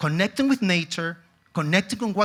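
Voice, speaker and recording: This is a man with a high pitch. His pitch swings very widely. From Chile. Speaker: tourism executive. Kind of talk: conference talk.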